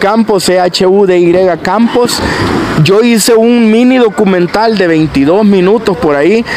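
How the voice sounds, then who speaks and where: Over noticeable background noise, a man speaks very slowly in a high voice with ordinary pitch variation and a dry sound with no echo. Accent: Salvadoran. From El Salvador, Chalatenango. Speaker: content creator. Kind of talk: casual conversation. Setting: outdoors at a street festival.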